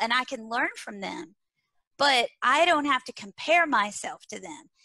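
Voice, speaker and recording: A raised, projected voice with a strong Texas accent, bright, sharp tone, lively intonation and moderate pace, in a dry, close sound with no echo. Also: woman. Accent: thick Texas. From small-town Texas. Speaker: leadership and learning speaker. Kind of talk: interview. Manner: animated.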